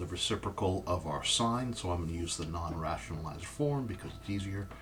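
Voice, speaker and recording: A fairly low-pitched man with lively intonation over noticeable background noise. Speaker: math teacher. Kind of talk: tutorial.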